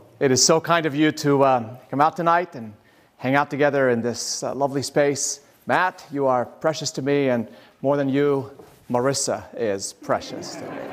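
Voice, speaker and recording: This man's voice sits fairly high in pitch and moves at a moderate pace with fairly even intonation. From Lebanon (Sidon area). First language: Arabic. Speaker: pastor and nonprofit leader. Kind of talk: lecture.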